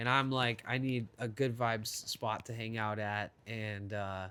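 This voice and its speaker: A loud man's voice at a medium pitch, with ordinary pitch variation, a bright, sharp tone, and a very clean recording against a silent background. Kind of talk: casual chat.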